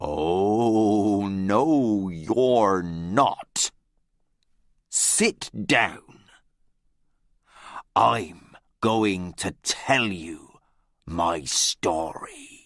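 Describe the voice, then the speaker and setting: In a very clean recording with a silent background, a man in a put-on character voice speaks very slowly at a fairly low pitch, with long, frequent pauses. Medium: read story. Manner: commanding.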